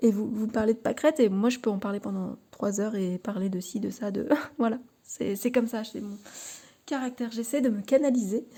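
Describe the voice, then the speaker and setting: On a very clean recording with a silent background, a woman talks fairly quickly in a dark, mellow, somewhat breathy tone. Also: fairly high pitch for a woman, ordinary pitch variation. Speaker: tarot card reader and YouTuber. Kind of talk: casual vlog talk to camera. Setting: at home in her living room. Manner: halting, many fillers and repetitions.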